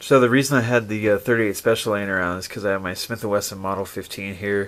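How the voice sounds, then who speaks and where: A man speaks at a very fast pace with a fairly low pitch. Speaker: firearms reviewer. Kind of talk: product review. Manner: casual with many fillers.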